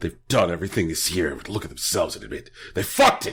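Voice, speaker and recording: A raspy man's put-on character voice at a very fast pace. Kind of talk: casual, profane. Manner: funny put-on voice.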